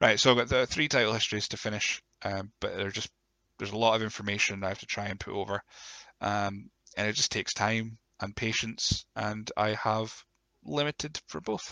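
A man's croaky voice, fairly low in pitch, with vocal fry, a bright, sharp tone, ordinary pitch variation, a moderate pace, and a dry, close sound with no echo.

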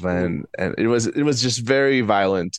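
Over a quiet background, a man with a Spanish accent speaks at a moderate pace with ordinary pitch variation. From Ecuador. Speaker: comedian and journalist. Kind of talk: casual interview.

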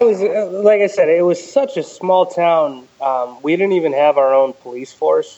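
A man's high-pitched voice, dark and mellow in tone, with lively intonation, a fairly slow pace and hardly any pauses. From Connecticut, US. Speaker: listener sharing personal story. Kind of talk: interview testimony.

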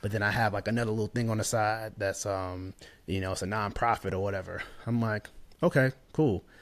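A man with an American accent speaks at a fairly low pitch. His is a normal speaking voice with fairly even intonation. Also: fairly quick pace, very clean recording, silent background. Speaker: visual storyteller and videographer. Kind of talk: interview.

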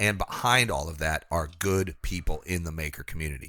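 A man speaks at a fairly slow pace in a bright, sharp tone. The recording is very clean, with a silent background. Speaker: podcast co-host reading sponsor ads. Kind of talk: casual, conversational. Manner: smooth, practiced delivery.

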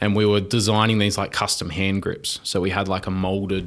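The speaker has an Australian accent. The intonation stays monotone and flat. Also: man. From Wollongong, New South Wales, Australia. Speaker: mechatronics engineer. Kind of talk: casual interview chat. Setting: in-person studio.

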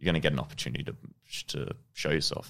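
A man talking at a very fast pace with vocal fry. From Australia, childhood partly in New Zealand. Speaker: professional football goalkeeper. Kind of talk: interview.

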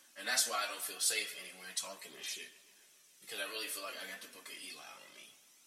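A man talks at a very fast pace, his loudness swinging widely, with audible room echo around him. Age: 20s. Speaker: podcast host. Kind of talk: casual chat. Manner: animated.

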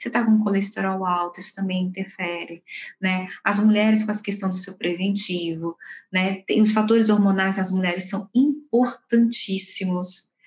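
This woman's voice sits at a medium pitch and sounds somewhat breathy. She talks at a moderate pace with flat, monotone intonation. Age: 40s. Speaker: organizational psychologist. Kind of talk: interview.

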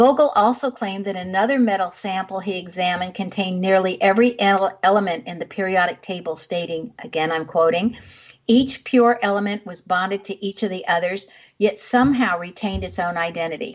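At a fairly quick pace, a woman speaks in an ordinary speaking voice at medium pitch with ordinary pitch variation. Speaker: radio show host. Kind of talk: radio host patter, interview intro and sign-off. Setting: radio studio. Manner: polished, warm, measured.

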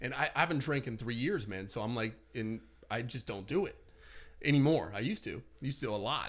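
Using a normal speaking voice, a man talks at a fairly quick pace with lively intonation and a medium pitch. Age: 30s. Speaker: real estate agent and personal development blogger. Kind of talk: casual chat.

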